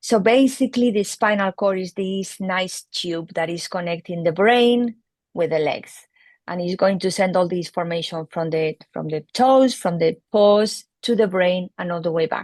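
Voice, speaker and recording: This woman talks at a fairly slow pace in a medium pitch with lively intonation, recorded with a dry, close sound with no echo against a quiet background. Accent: Spanish. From Spain. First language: Spanish. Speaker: veterinary neurologist. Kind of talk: interview explanation.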